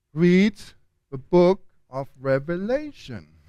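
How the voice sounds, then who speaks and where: A man speaks with a German accent. His pitch is high. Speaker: theology lecturer. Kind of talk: lecture.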